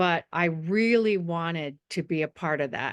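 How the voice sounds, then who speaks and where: A woman speaks with an American accent. The sound is dry and close with no echo, over a quiet background. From California. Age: 70s. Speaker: psychotherapist and writer. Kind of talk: interview.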